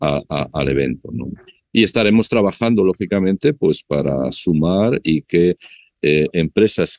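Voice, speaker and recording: The sound is dry and close with no echo as a man speaks in a dark, mellow tone. His pace is moderate, with ordinary pitch variation. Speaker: business chamber representative. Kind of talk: interview. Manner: halting.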